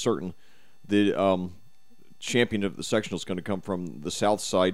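Here a man speaks at a moderate pace. His pitch is fairly low. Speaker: high school football announcer and actor. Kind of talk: casual interview chat. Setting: radio studio.

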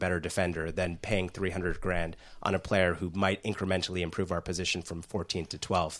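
With an American accent, a man speaks at a fairly quick pace. His pitch is very deep and low. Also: quiet background. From US, New York/New Jersey. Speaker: guest football fan.

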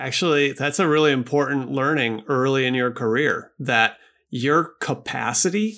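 On a very clean recording with a silent background, a man with a plain, everyday voice talks at medium pitch with ordinary pitch variation. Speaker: podcast host. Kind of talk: interview.

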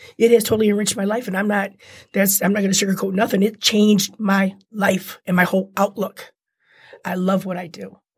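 The voice is somewhat breathy and moves at a fairly quick pace. The recording is very clean, with a silent background. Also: woman, medium pitch for a woman. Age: 50s. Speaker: handbag designer and former prisoner. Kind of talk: interview, personal testimony. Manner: animated.

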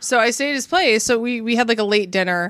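A woman with a plain, everyday voice, fairly high in pitch with ordinary pitch variation, in a very clean recording with a silent background. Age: 30s. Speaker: podcast guest. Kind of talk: casual chat. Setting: studio.

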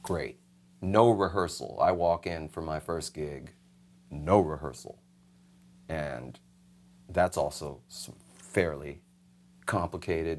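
On a very clean recording with a silent background, the speaker talks at a very slow pace with an American accent, vocal fry, ordinary pitch variation, big swings in loudness and long, frequent pauses. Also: man, very deep, low pitch for a man. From New York, the Bronx. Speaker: session musician. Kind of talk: casual interview.

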